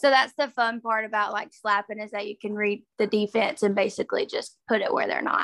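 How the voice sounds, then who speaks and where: With a Southern US accent, a woman speaks at a fairly quick pace with hardly any pauses, her fairly high voice kept in fairly even intonation. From northeast Alabama. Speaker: college softball player. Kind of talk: casual interview chat.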